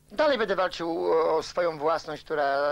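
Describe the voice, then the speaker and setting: This is a man speaking. His pace is fairly quick. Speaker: news interviewee. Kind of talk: interview answer. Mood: aggrieved, determined. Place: studio.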